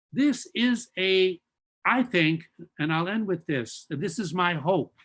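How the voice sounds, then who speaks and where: With lively intonation, a man speaks at a high pitch and a fairly slow pace. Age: 80s+. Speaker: professor of religion. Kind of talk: lecture. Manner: halting.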